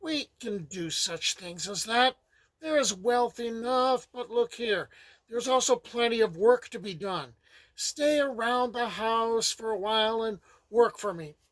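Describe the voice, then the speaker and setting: A man's put-on character voice, extremely high in pitch with ordinary pitch variation, big swings in loudness and a fairly slow pace. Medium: read story.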